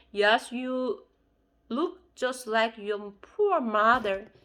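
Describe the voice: Using a put-on character voice, a woman speaks very slowly in a fairly high pitch that sounds shaky.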